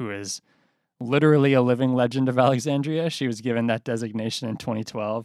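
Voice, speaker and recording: A man's plain, everyday voice with an American accent, medium-pitched and fairly even in intonation, at a fairly quick pace, in a dry, close sound with no echo and a very clean recording over a silent background. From Boston. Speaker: newspaper reporter and podcast host. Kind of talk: casual chat.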